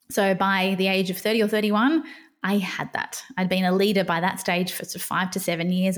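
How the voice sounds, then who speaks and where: Recorded very cleanly against a silent background, a woman talks at a fairly quick pace. Her pitch is medium, with fairly even intonation. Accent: Australian. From Australia. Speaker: podcast host and burnout coach. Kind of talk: personal storytelling monologue. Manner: unscripted, with pauses and fumbles.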